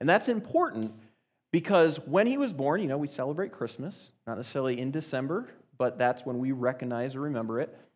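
An ordinary speaking voice from a man, fairly high in pitch, with lively intonation and a fairly quick pace over a quiet background. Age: 30s. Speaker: youth speaker. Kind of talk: sermon.

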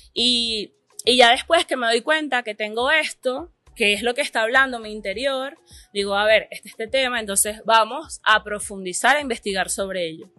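A woman with a fairly high pitch and ordinary pitch variation at a moderate pace, with music in the background and a dry, close sound with no echo. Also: big swings in loudness. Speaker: artist. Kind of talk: casual interview. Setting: café.

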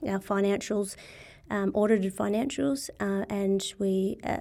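At a moderate pace, a woman speaks in a medium pitch with a dark, mellow tone and monotone, flat intonation. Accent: Australian. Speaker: sports body CEO. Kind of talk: casual interview.

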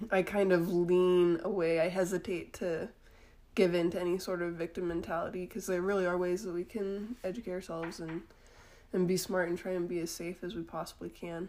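Fairly quick, flat, monotone speech from a woman with an American accent and a fairly low pitch. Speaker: podcast co-host. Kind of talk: casual chat.

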